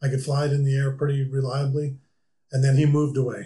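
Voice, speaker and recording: A man speaks with an American accent at a medium pitch. His tone is dark, mellow and somewhat breathy. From US Midwest, rural South Dakota. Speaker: aviation club member, homebuilt plane builder. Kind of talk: casual interview. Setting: studio.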